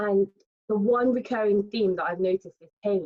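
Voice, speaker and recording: A woman in a British accent speaks at medium pitch with fairly even intonation. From England, born in Nigeria. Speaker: lifestyle content creator. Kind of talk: panel discussion.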